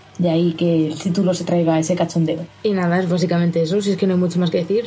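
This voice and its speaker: Over music in the background, a woman speaks in a fairly low voice with fairly even intonation. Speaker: video game journalist. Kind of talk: casual chat.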